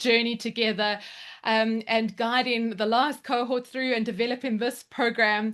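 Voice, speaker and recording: Against a quiet background, a woman with a South African accent speaks in a high pitch and an animated tone. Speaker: education mentor. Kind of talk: presentation at online open house.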